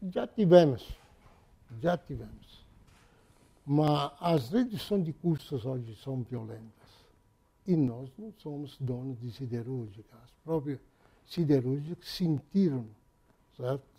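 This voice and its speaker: A man speaks at a very slow pace with long, frequent pauses, his dark, mellow, somewhat breathy tone carrying lively intonation and big swings in loudness. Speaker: auto parts company president. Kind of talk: interview. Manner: halting.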